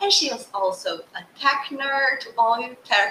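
Music plays in the background as a woman with a non-native accent speaks at a very slow pace. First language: not English. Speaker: podcast host, business coach. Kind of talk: interview. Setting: video call.

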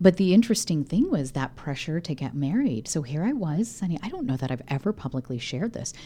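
In an American accent, a somewhat breathy voice with a dark, mellow tone races along at a very fast pace with hardly any pauses and very wide pitch swings. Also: woman, very deep, low pitch for a woman. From small-town Illinois, US Midwest. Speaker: neurologist and wellness speaker. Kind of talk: casual interview chat. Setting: studio. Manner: animated.

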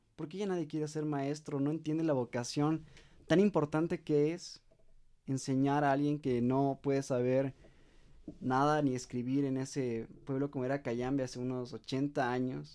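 Over a quiet background, a man with a fairly high pitch and a dark, mellow tone speaks fairly slowly with fairly even intonation. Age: young. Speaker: family podcast host. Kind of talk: interview.

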